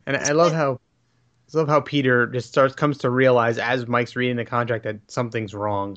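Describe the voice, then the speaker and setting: With an unremarkable speaking voice and an American accent, a man talks fairly quickly at medium pitch, keeping fairly even intonation through big swings in loudness. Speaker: podcast commentator. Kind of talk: casual chat.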